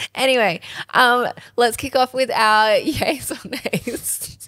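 A woman with an Australian accent talks at a high pitch. Her loudness swings widely. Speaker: podcast co-host. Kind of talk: casual chat.

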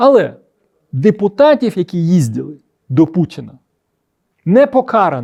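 With a dark, mellow tone, the speaker moves at a fairly slow pace through very wide pitch swings and long, frequent pauses, over a quiet background. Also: man, high pitch for a man. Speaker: political video blogger and former MP. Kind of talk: political commentary monologue.

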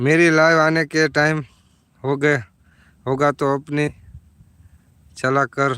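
A man's bright, sharp tone comes through with a dry, close sound and no echo. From Gujarat, Surendranagar district (Dhrangadhra area village). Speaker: village vlogger and farmer. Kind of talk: live stream chat with viewers. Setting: outdoors at the farm.

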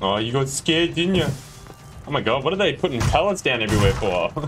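Very fast and fairly high-pitched, a man talks with an Australian accent and very wide pitch swings. Faint music plays in the background. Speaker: gamer. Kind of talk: casual gameplay commentary. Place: home room.

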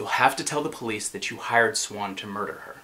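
The man's intonation is lively, and his speed is moderate. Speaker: actor performing a play scene. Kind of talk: dramatic monologue. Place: studio.

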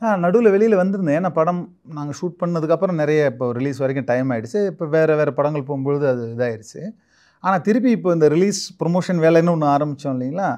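A dark, mellow tone with ordinary pitch variation against a quiet background. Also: man, fairly high pitch for a man. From Tamil Nadu, Thanjavur/Chidambaram area; Tamil Nadu. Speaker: film actor; film actor guest. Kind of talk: interview; interview answer. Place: studio. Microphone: lapel.

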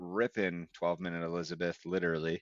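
A man with a Midwestern American accent at a moderate pace. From US Midwest. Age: 30s. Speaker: podcast co-host. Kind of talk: casual chat.

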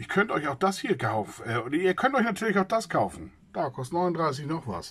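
At a fairly quick pace, a man speaks in a fairly high, slightly husky voice with big pitch swings.

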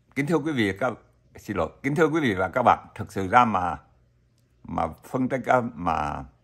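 A man talks at a moderate pace with vocal fry. The background is quiet. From Vietnam. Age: old. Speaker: YouTuber, retiree vlogger. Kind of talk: casual vlog monologue. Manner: halting, many fillers. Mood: friendly, smiling. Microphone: webcam.

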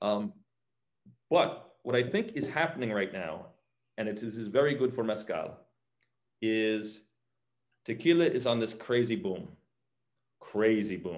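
A man talks with a New York accent at a fairly slow pace, his intonation lively. Long, frequent pauses break up his speech over a quiet background. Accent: New York American English. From US Northeast, New York; US Northeast. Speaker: mezcal brand founder; guest. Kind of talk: casual interview; interview answer. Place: home room. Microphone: video call.

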